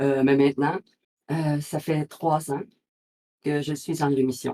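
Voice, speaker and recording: Very slowly and in a flat monotone, a woman speaks with a very deep, low pitch and a dark, mellow tone, the sound dry and close with no echo. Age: 60s. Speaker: cancer survivor. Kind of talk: interview. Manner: halting.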